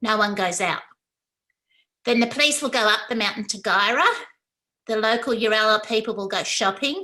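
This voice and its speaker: Bright and sharp in tone, a woman with an Australian accent speaks at a fairly high pitch and a moderate pace, with ordinary pitch variation. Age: 60s. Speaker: academic presenter. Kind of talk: conference talk.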